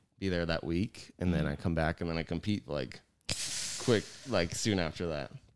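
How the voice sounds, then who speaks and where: A man talks at a moderate pace in a very deep, low pitch. Vocal fry runs through his voice. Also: ordinary pitch variation. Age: 30s. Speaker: podcast co-host and jiu jitsu academy owner. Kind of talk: casual chat. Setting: studio with headphones and mics. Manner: louder than co-host.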